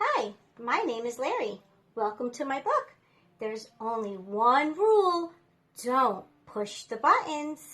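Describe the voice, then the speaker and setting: A woman uses a put-on character voice at a high pitch. She speaks at a fairly slow pace with long, frequent pauses. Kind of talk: read-aloud storytime. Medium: read story. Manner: animated, talks straight to the reader.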